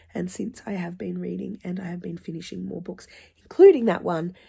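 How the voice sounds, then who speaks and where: Somewhat breathy, a woman's voice rests at a medium pitch. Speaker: book reviewer. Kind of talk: casual talk to camera.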